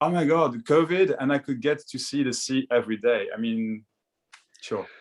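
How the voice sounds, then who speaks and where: A man with a French accent and a fairly high pitch speaks at a moderate pace with ordinary pitch variation, in a very clean recording with a silent background. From France. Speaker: spiritual discussion guest. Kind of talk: casual chat. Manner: halting, many repetitions.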